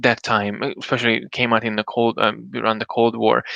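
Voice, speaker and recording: Against a quiet background, a man speaks. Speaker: solo live streamer and podcaster. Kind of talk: casual live stream talk. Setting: live stream. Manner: fast; halting, many fillers and restarts.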